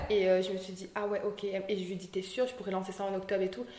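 Audible room echo and noticeable background noise surround this woman's voice. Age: 20s. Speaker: young entrepreneur. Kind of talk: interview. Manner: hesitant, many fillers.

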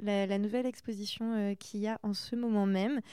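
The voice has a dark, mellow tone and a fairly quick pace. The recording is very clean, with a silent background. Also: woman. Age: 20s. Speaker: podcast host and young artist. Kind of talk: casual interview chat. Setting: artist's studio. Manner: animated.

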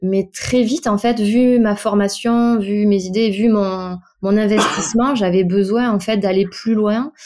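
A woman speaks at a fairly slow pace in a medium-pitched voice with a dark, mellow tone and fairly even intonation. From Bordeaux area, France. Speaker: dental assistant. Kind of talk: casual interview.

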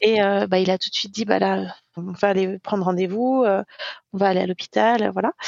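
A woman speaks in a normal speaking voice. Her pitch is medium and her intonation is fairly even. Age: 30s. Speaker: eating disorder survivor sharing testimony. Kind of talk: testimony.

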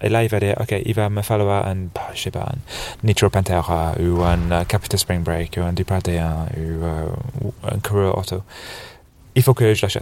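A man with a very deep, low pitch speaks at a fairly slow pace with ordinary pitch variation. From England, Birmingham. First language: English (speaking French). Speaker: snowboard shop buyer. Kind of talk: casual interview. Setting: couch in a dark trade-fair hall.

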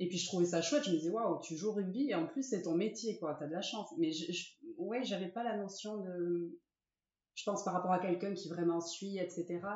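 A woman's normal speaking voice at a medium pitch and moderate pace, with ordinary pitch variation. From French Basque Country (Saint-Jean-de-Luz, Ciboure, Sare). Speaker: rugby player's wife. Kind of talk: casual interview. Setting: at her home.

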